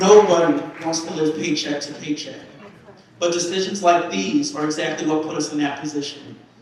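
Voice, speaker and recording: Noticeable background noise and audible room echo are present. A man with an American accent and a high pitch talks at a moderate pace with fairly even intonation. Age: 20s. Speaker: community member giving testimony. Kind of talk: testimony speech at assembly. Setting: church assembly with audience. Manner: impassioned.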